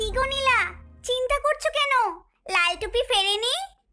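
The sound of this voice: A female-sounding cartoonish character voice speaks at an extremely high pitch and a moderate pace. Faint music plays in the background.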